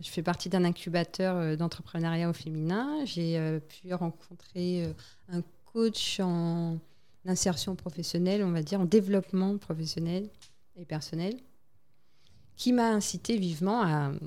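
A woman with a fairly low pitch and a dark, mellow tone speaks at a fairly slow pace, leaving long, frequent pauses. Her pitch variation is ordinary. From French Guiana. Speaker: waste management entrepreneur and flight attendant. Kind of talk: interview.

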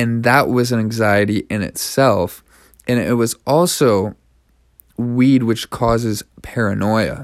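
At a very slow pace, a man with a Canadian accent speaks at a medium pitch with fairly even intonation, on a very clean recording with a silent background. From Canada. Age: 20s. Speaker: podcast host. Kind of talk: personal monologue.

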